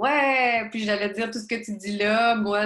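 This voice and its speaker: A woman with a Quebec accent speaks at a fairly slow pace with ordinary pitch variation. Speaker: podcast host, teacher. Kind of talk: interview.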